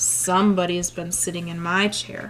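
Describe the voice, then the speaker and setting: A woman puts on a raspy character voice at a fairly low pitch and a moderate pace. Clear background noise runs behind her. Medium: read story.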